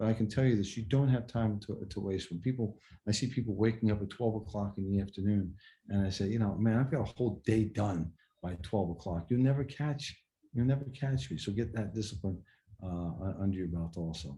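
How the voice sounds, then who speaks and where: Speaking at a fairly quick pace, a man uses a fairly low, somewhat breathy voice with a dark, mellow tone and ordinary pitch variation. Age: 60s. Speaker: car dealership executive. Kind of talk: podcast interview. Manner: hesitant, repeats words.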